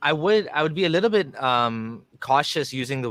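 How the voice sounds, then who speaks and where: An ordinary speaking voice at a moderate pace with lively intonation, dry and close with no echo, on a very clean recording with a silent background. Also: man. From Canada. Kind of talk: interview. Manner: casual, conversational.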